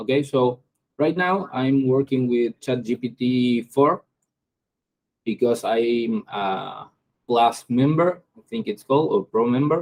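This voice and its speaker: This man speaks with a non-native accent at medium pitch. His pace is very slow, with ordinary pitch variation. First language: Spanish. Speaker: AI start-up founder. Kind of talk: tutorial. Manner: halting.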